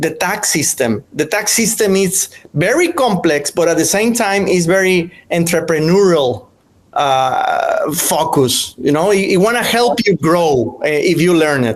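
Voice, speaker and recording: Someone with a Mexican accent talks at a fairly slow pace with lively intonation and very even loudness, against noticeable background noise. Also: man, high pitch for a man. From Mexico, Monterrey. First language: Spanish. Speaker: real estate investing channel host. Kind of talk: casual podcast chat.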